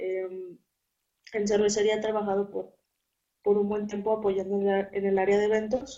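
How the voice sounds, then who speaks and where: A woman speaks at a medium pitch with monotone, flat intonation. She leaves long, frequent pauses. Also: moderate pace. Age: 20s. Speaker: accounting student. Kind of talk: interview.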